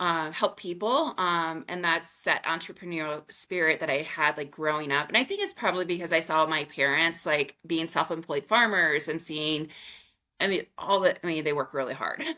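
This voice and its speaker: A woman uses an ordinary speaking voice with a fairly low pitch. Her pace is moderate and her pitch variation ordinary. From US Midwest, rural Missouri. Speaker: menopause coach. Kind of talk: podcast interview. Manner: casual, many filler words.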